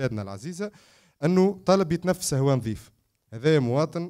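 The background stays quiet as a man talks at a moderate pace. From Tunisia. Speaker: environmental activist; panelist. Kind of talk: panel discussion. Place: hall. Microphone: handheld.

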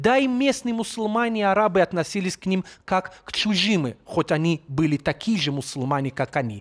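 A high-pitched male voice with very wide pitch swings, hardly any pauses, a fairly quick pace, and a dry, close sound free of echo. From Jerusalem. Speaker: local Orthodox guide. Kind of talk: documentary commentary.

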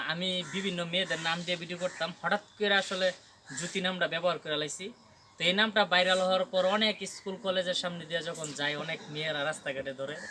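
A man's high voice with fairly even intonation over noticeable background noise. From Bangladesh, Brahmanbaria. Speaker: social media content creator. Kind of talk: casual interview.

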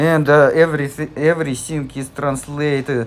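Over noticeable background noise, a man speaks in a Russian accent. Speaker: tech tutorial maker. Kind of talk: casual screen-recording tutorial. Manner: hesitant, many filler sounds.

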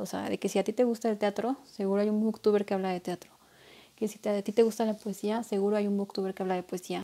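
A woman's dark, mellow tone at a very fast pace. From Mexico. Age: 20s. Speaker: booktuber. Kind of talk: casual vlog monologue. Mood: playful, self-mocking. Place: home room. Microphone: earbuds.

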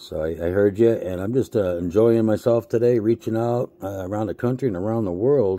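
A man with an American accent talks at a fairly quick pace, with hardly any pauses. His fairly low voice has a dark, mellow tone and ordinary pitch variation. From US Northeast, Boston. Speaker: ham radio operator. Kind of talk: ham radio contact. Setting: radio transmission from handheld at home desk. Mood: relaxed, friendly. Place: home room.

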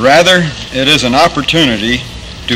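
At a moderate pace, a man with an American accent speaks with ordinary pitch variation amid noticeable background noise. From Pennsylvania, US. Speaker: Air Force general, speaker; speaker. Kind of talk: formal ceremonial address. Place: factory.

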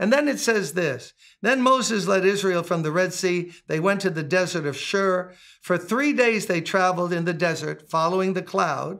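A man's high-pitched voice at a moderate pace, with ordinary pitch variation and a quiet background. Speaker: pastor. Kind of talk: scripture reading and sermon teaching. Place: home room.

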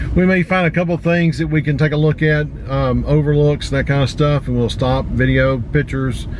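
In a Tennessee accent, a man talks at a very even loudness over light background noise. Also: dry sound with no echo. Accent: Southern US (Tennessee). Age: 50s. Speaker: outdoor vlogger. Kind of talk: casual vlog narration. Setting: in a car on road trip. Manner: casual, filler-heavy. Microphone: phone near.

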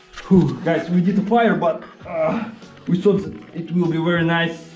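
A man talks at a moderate pace, high-pitched for a man, with ordinary pitch variation. There is audible room echo and faint music in the background. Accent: Russian. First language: Russian. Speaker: vlogger. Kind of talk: casual vlog talk to camera. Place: tunnel cave. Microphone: phone near.

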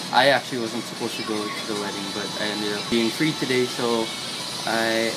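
A man at a fairly quick pace with ordinary pitch variation, over clear music in the background. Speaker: vlogger. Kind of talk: casual vlog chat. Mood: cheerful, laughing. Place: home room. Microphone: phone near.

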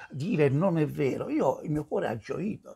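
A man's somewhat breathy voice moves through very wide pitch swings. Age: 70s. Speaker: commentator on religious matters; religious commentator. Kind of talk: video response monologue. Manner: hesitant, many fillers. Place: home room.

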